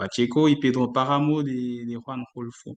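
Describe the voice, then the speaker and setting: Speaking with a French accent, a man talks at a fairly slow pace and a medium pitch. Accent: French-speaking non-native Spanish. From Ivory Coast. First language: French (speaking Spanish). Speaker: doctoral researcher in literature. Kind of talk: academic talk. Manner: halting, many fillers.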